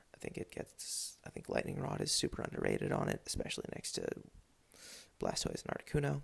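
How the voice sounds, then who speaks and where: A man is whispering quietly. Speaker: video game league commentator. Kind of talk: casual solo commentary. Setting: home at midnight. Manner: quiet, whispered.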